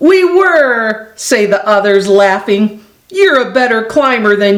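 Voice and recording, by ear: A natural voice reading aloud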